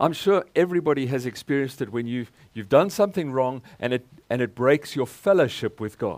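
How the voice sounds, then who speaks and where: The speech moves at a fairly quick pace with lively intonation. The recording is very clean, with a silent background. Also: man, medium pitch for a man. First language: English (speaking German). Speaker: guest preacher. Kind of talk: sermon with live interpretation.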